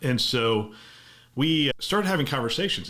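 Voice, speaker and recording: The man speaks with lively intonation. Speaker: podcast host, former hospital CIO. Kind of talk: podcast monologue. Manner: fast.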